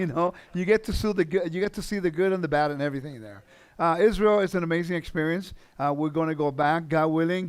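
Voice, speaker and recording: On a very clean recording with a silent background, a man with a high pitch talks at a very fast pace with ordinary pitch variation. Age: 50s. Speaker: guest teacher in a congregation. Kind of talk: sermon. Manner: casual, conversational.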